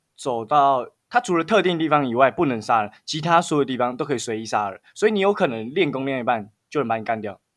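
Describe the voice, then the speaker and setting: A man with a Taiwanese accent talks at a very fast pace and a medium pitch. He leaves hardly any pauses. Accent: Taiwanese Mandarin. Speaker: podcast co-host. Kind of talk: casual chat.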